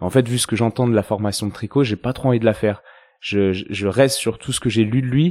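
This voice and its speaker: A man's medium-pitched voice at a very fast pace, fairly even in intonation, with a dry, close sound with no echo on a very clean recording with a silent background. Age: 30s. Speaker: osteopath and podcast host. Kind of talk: interview answers, casual chat. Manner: hesitant, many fillers and repetitions.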